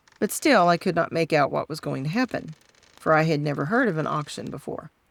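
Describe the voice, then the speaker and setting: Soft-spoken and fairly low in pitch, a woman talks at a moderate pace with lively intonation. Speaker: storyteller. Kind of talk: reading aloud.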